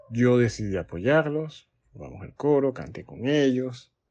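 With a Panamanian accent, a man speaks at a fairly slow pace. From Panama, Colón. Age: 40s. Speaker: music teacher and choir director. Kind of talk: interview. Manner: halting, with repetitions.

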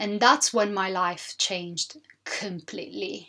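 A woman speaks with an Italian accent. Her tone is bright and sharp. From Sicily, southern Italy. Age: 30s. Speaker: podcast host. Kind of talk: solo monologue podcast.

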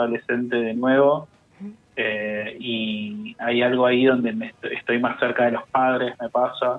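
Over noticeable background noise, a man with a medium-pitched voice speaks fairly slowly. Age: 30s. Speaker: writer and musician. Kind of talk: interview. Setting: phone call.

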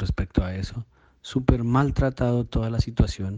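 Moving at a moderate pace, a man's voice has a dark, mellow tone and ordinary pitch variation. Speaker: listener contributor. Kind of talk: recorded voice message.

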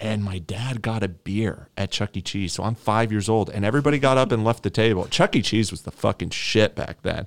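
This man has an unremarkable speaking voice, fairly low in pitch with ordinary pitch variation, moving at a fairly quick pace with hardly any pauses in a very clean recording with a silent background. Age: 30s. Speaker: podcast co-host, streamer and programmer. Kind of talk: casual chat. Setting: home recording room.

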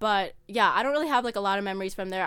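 A woman talks at a very fast pace in a bright, sharp tone, in a very clean recording with a silent background. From Minnesota, US. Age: young. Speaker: entrepreneur. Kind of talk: interview. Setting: studio.

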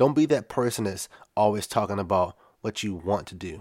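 A man's fairly low voice in a very clean recording with a silent background. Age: 30s. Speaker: podcast host and photographer. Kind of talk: solo podcast monologue.

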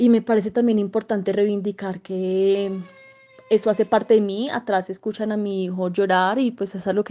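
The woman's intonation is fairly even. Her voice is medium in pitch. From Colombia, Manizales. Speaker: sociologist and journalist. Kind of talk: interview. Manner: halting, many fillers.

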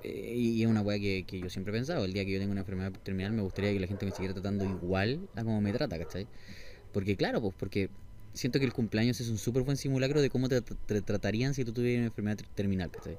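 A man talks at a very fast pace in a fairly low pitch. His tone is dark and mellow, with ordinary pitch variation. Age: 30s. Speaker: podcast host. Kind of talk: casual chat. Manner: animated.

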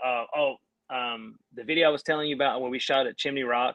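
This man talks in a fairly high pitch with a Southern US accent. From North Carolina, US South. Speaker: band singer and guitarist. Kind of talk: casual interview chat. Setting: online live stream.

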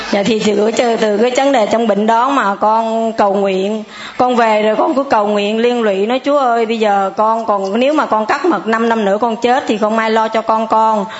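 At a moderate pace with hardly any pauses, the voice keeps fairly even intonation and very even loudness over noticeable background noise. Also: woman, fairly high pitch for a woman. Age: 60s. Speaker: churchgoer giving testimony. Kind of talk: testimony.

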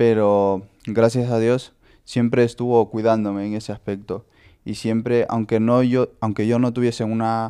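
A man talks at a fairly slow pace in a medium pitch with a dark, mellow tone. His intonation is monotone and flat. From Honduras. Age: 20s. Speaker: skater. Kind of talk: testimony. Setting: host's home. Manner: halting.

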